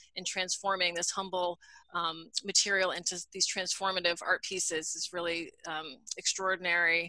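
A woman's bright, sharp tone, monotone and flat, at a moderate pace, with a dry sound with no echo and a quiet background. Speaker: museum host and curator. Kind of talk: interview. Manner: hesitant, frequent um fillers. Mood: warm, admiring. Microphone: video call.

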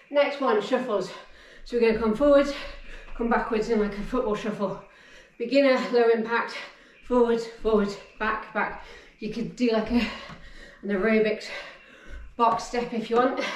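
Long, frequent pauses break up a monotone, flat delivery, and the room echo is audible. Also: woman, moderate pace. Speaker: fitness instructor. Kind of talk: workout instruction. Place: home room.

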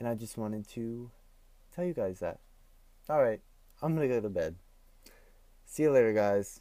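Using long, frequent pauses, a man speaks at a moderate pace in a medium pitch with a dark, mellow tone and ordinary pitch variation, the sound dry with no echo and the background quiet. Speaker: vlogger. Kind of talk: casual vlog talk to camera. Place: home room. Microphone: earbuds.

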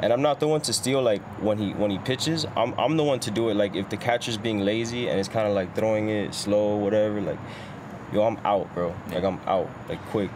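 Over noticeable background noise, a man with a fairly low pitch and ordinary pitch variation talks at a fairly quick pace. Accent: American. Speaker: podcast host. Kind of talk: casual chat.

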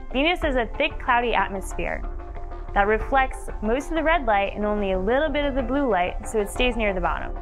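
Very wide pitch swings over clear music in the background. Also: woman. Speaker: scientist. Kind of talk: science documentary narration. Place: studio.

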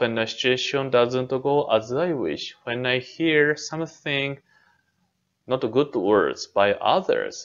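The speech runs at a very slow pace with ordinary pitch variation. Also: man. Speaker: temple minister. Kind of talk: dharma talk lecture. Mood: calm, gentle. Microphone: webcam.

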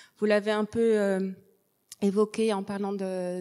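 Over a quiet background, a woman's dark, mellow tone stays in a monotone, flat intonation. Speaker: nun and researcher; audience member. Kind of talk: audience question. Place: hall. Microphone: handheld.

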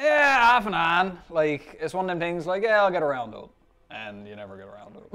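This man talks at a fairly quick pace in a Newfoundland accent, his high voice bright and sharp and swinging very widely in pitch. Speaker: social media personality. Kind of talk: interview answer. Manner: casual, profane. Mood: relaxed, joking. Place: studio.

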